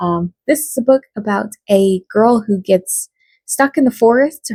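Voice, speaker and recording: A woman speaks in a dark, mellow tone that is somewhat breathy, with ordinary pitch variation. The sound is dry and close, with no echo. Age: 30s. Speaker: book vlogger. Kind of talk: casual vlog talk. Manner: casual, with fillers.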